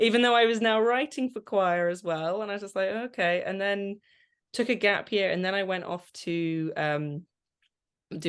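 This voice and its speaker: Against a quiet background, a woman speaks at a moderate pace. Her pitch varies in an ordinary way. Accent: Channel Islands. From Guernsey. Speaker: composer and vocal coach. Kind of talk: interview.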